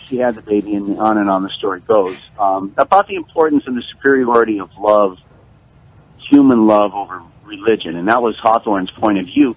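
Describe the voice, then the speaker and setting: A man with an unremarkable speaking voice, fairly low pitch, ordinary pitch variation and a fairly quick pace. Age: 60s. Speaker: history teacher, caller. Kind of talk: radio call-in.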